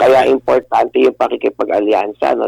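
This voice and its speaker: A man talks at a moderate speed, the sound dry and close without any echo. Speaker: lawyer and political analyst. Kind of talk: radio interview.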